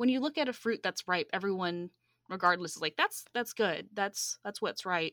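In a very clean recording with a silent background and a dry, close sound with no echo, a woman with an American accent speaks at a moderate pace and a medium pitch, her tone bright and sharp and her intonation lively. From US South, metro Atlanta. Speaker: seminary student and project management consultant. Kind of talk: interview conversation.

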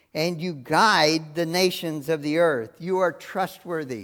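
The speech moves at a very slow pace on a very clean recording with a silent background. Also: man. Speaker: preacher. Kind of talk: sermon with fervent, earnest prayer of praise and thanks. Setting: church. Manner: earnest, heartfelt, devout.

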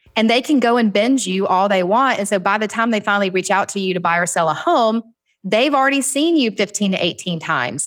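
Talking at a fairly quick pace with a Southern US accent, a woman uses lively intonation and keeps her loudness very even. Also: medium pitch for a woman, very clean recording, silent background. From US South. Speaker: real estate agent and business owner. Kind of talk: casual podcast interview.

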